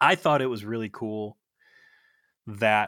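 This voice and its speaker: In an Ohio accent, the speaker talks at a very slow pace with fairly even intonation, in a very clean recording with a silent background and a dry, close sound with no echo. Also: man. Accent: Ohio, says fur for for. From US Midwest, Ohio. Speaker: podcast co-host. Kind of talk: casual chat.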